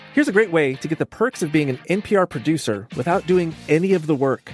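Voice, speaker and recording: Over music in the background, a man speaks in a high voice, with dry, close sound and no echo. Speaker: radio producer. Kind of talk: radio promo read.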